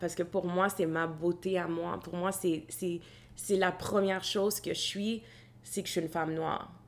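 A woman with an ordinary speaking voice, fairly low in pitch, with fairly even intonation. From Quebec, Gatineau. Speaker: graduate student in organizational development. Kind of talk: casual chat.

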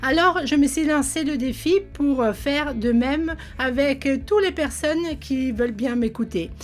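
Music sits in the background as a woman talks in a high voice. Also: ordinary pitch variation, fairly slow pace. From Italy. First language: Italian (speaking French). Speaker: entrepreneur and podcast host. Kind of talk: podcast monologue. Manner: upbeat.

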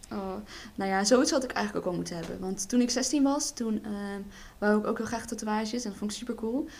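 A woman's unremarkable speaking voice, fairly high in pitch, with ordinary pitch variation and a fairly quick pace. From Netherlands. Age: 20s. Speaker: hairdressing student and model. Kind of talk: casual chat.

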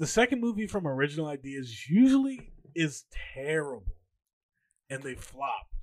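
An animated man speaks at a moderate pace in a fairly high voice, with very wide pitch swings and big swings in loudness. He leaves long, frequent pauses. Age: 20s. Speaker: podcast co-host. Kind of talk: casual chat.

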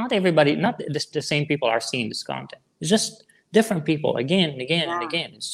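At a very fast pace, a man with a fairly high pitch talks with lively intonation. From Syria. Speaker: online marketer, former hip hop artist. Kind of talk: interview.

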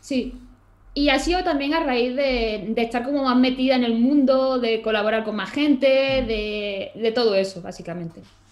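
A woman with a high pitch speaks at a moderate pace with ordinary pitch variation, amid noticeable background noise and audible room echo. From Málaga, Andalusia, Spain. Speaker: illustrator and YouTuber. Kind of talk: casual interview chat.

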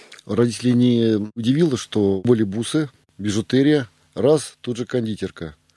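In a dry, close recording with no echo, a man with a dark, mellow, medium-pitched voice speaks at a moderate pace with ordinary pitch variation. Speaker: podcast co-host, businessman. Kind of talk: interview.

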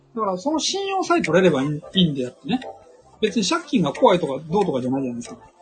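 This man talks very fast in a high pitch, his pitch swinging very widely. Noticeable background noise is present. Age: 50s. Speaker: author and investor. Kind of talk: casual chat.

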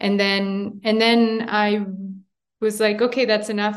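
In a Montreal accent, a woman with a medium pitch speaks at a fairly slow pace with monotone, flat intonation. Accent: Canadian English (Montreal). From Montreal, Canada. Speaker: international law expert. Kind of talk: interview. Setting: remote call from abroad.

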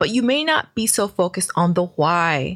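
Speaking with an American accent, a woman's voice is somewhat breathy. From New York, Brooklyn. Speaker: podcast host and business coach. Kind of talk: solo podcast monologue.

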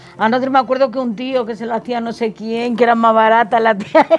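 Fairly high in pitch, a woman speaks at a fairly quick pace with monotone, flat intonation. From Spain, Salamanca province (Gallegos de Argañán). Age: 70s. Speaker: elderly villager interviewee. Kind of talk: casual interview.

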